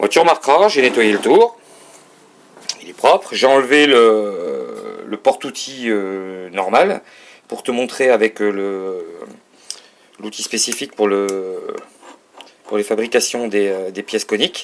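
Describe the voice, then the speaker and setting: Using long, frequent pauses, a man speaks at a very slow pace and a medium pitch with lively intonation. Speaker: hobbyist showing a lathe. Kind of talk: tutorial. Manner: halting.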